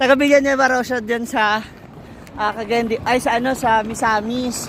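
A woman with a high pitch speaks at a moderate pace against noticeable background noise. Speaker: vlogger. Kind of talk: walking vlog narration. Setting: outdoors. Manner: animated.

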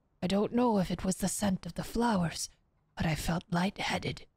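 Somewhat breathy, with a dark, mellow tone, a woman speaks at a moderate pace in a dry sound with no echo against a quiet background. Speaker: streamer. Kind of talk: reading aloud. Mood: calm, narrative reading tone. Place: home room. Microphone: studio mic.

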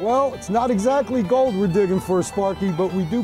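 Clear music plays in the background as the speaker goes at a moderate pace. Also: man, dry sound with no echo. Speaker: business owner in commercial. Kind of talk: TV commercial read. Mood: friendly, cheerful. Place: street.

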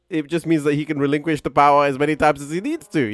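With faint music behind him, a man speaks in a dry sound with no echo. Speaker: game streamer. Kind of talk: casual commentary.

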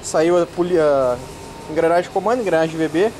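A man speaks at a moderate pace with a high pitch. Light background noise sits under his voice. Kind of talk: casual vlog chat. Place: workshop. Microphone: phone near.

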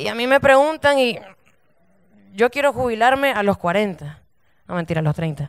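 A woman at a fairly quick pace, with very wide pitch swings, against a quiet background. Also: dry sound with no echo. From Nicaragua. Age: 20s. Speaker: stand-up comedian. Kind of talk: stand-up comedy set. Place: stage. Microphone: handheld.

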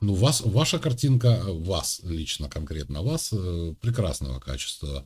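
Very slow delivery with hardly any pauses, very wide pitch swings and vocal fry. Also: man, very deep, low pitch for a man. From Ukraine. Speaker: video chat streamer. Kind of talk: casual chat.

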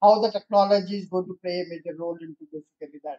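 This man's voice sits at a high pitch with a dark, mellow tone. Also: quiet background. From India. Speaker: electronics industry leader; guest. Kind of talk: presentation. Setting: stage with audience. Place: hall. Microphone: podium.

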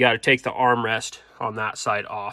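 The man keeps to a fairly unhurried pace. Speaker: farmer restoring tractor. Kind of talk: casual vlog chat. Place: garage. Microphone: phone near.

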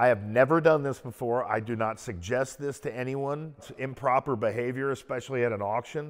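This man talks at a fairly quick pace. His pitch varies in an ordinary way. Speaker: car collector host. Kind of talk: interview-style storytelling. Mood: animated, amused anecdote. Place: garage. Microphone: lapel.

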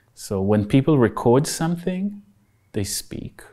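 A man with an Israeli accent at a fairly slow pace, against a quiet background. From Israel (Haifa). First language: Hebrew. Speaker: architect and researcher; interviewee. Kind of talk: in-depth interview. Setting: studio. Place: empty room. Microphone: lapel.

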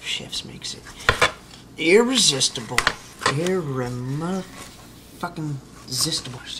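Over faint background noise, a man speaks slowly at a fairly high pitch, his tone bright and sharp and his pitch variation ordinary.

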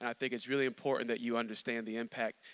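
The tone is bright and sharp, and the intonation is monotone and flat. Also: man. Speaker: pastor. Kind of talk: sermon. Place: stage. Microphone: handheld.

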